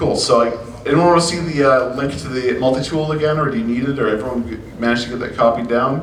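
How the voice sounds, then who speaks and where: Over noticeable background noise, a man of medium pitch rattles along at a very fast pace with ordinary pitch variation and hardly any pauses. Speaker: security researcher and conference speaker. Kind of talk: conference talk with Q&A.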